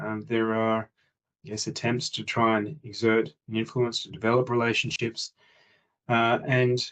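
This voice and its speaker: A man speaks with fairly even intonation and an Australian accent. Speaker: international relations executive speaking at summit. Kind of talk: conference presentation. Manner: measured with frequent hesitations (uh).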